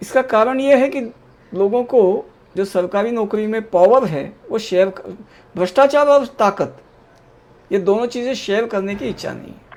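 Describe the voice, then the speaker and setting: Loudness swings widely here, while pitch varies in an ordinary way. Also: man, high pitch for a man. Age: 60s. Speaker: political commentator. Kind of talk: panel discussion.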